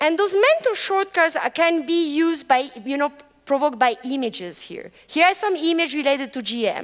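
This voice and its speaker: Very wide pitch swings mark this woman's fairly quick speech. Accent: French. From France. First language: French. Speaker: professor. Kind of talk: lecture.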